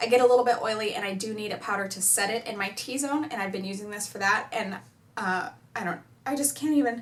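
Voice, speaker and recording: A woman with a fairly high pitch talks at a very fast pace with ordinary pitch variation. Her loudness swings widely over noticeable background noise. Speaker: beauty YouTuber. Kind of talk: casual talk to camera.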